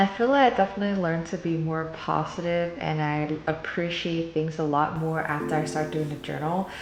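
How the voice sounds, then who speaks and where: At a fairly quick pace and with hardly any pauses, a woman talks in a very deep, low pitch with ordinary pitch variation, amid noticeable background noise and audible room echo. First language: Cantonese. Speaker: lifestyle vlogger. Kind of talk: casual vlog monologue. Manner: chatty, informal.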